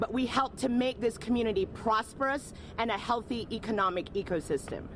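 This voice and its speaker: With ordinary pitch variation, a woman talks fairly quickly in a fairly high voice as noticeable background noise carries on around her. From Jamaica. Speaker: community advocate. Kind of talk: public speech.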